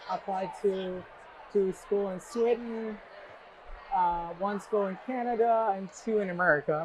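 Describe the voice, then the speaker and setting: This man has a high-pitched voice and talks at a fairly slow pace. Noticeable background noise runs underneath. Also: fairly even intonation. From Iran. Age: 30s. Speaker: university alumnus, scientist. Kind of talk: oral history interview.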